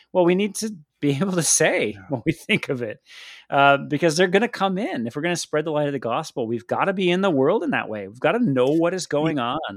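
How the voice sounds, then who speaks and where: Speaking very fast with an American accent, a man uses a fairly high pitch and very wide pitch swings on a very clean recording with a silent background. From United States. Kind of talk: casual discussion.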